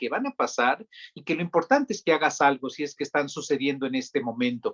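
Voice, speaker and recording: A man with a plain, everyday voice talks at a fairly quick pace and a fairly high pitch. His intonation is lively, and the sound is dry and close with no echo. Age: young. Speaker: psychiatrist. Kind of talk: interview.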